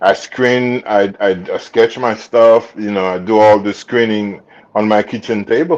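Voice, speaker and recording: A man with a strong Haitian accent speaks at a fairly slow pace. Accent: thick Haitian. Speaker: actor and designer. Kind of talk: interview. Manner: halting with many fillers.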